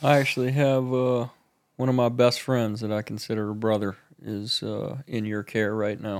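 A normal speaking voice moves at a moderate pace with fairly even intonation. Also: man, medium pitch for a man. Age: 40s. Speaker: podcast co-host, counselor. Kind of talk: casual interview. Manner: casual, swears.

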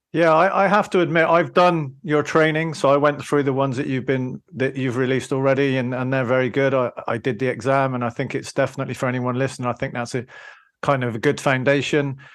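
A very fast man with a British accent, medium pitch, and fairly even intonation against a quiet background. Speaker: podcast host. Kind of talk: casual interview chat.

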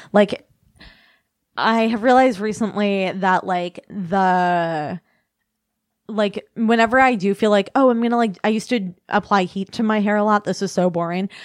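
A woman with an American accent and an unremarkable speaking voice talks at a moderate pace and medium pitch, with fairly even intonation. The sound is dry and close with no echo, over a quiet background. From US Midwest, northern Illinois / Kenosha, Wisconsin. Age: 20s. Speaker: author and comedian. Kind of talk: casual chat. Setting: studio.

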